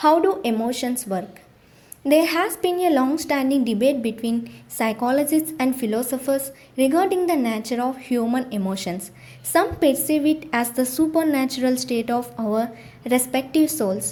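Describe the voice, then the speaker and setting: With an Indian accent, a woman with a high voice speaks at a moderate pace with lively intonation over noticeable background noise. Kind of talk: audiobook reading.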